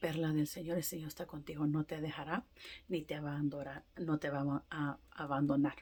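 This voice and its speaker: A woman's very deep, low, somewhat breathy voice, dark and mellow in tone, with fairly even intonation. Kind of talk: testimony. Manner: halting; emphatic.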